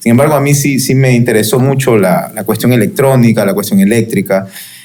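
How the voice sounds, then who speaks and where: A man with a strong Guayaquil accent speaks at a medium pitch and moderate pace, with audible room echo and noticeable background noise. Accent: strong Guayaquil coastal. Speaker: electrical engineer. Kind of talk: casual panel chat. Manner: rhythmic, relaxed.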